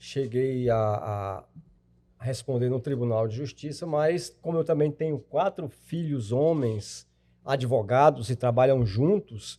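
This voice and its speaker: A man at a very slow pace, medium pitch and ordinary pitch variation, with a dark, mellow tone and a quiet background. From Brazil, Tocantins. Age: 60s. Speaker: lawyer and retired judge. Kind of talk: podcast interview. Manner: halting.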